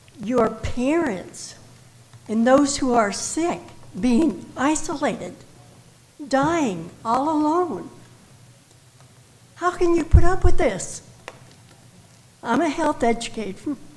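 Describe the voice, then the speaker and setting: Speaking very slowly with long, frequent pauses, a woman's high voice swings very widely in pitch amid audible room echo. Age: 80s+. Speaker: health educator, public commenter. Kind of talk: public comment speech. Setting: council chamber public meeting.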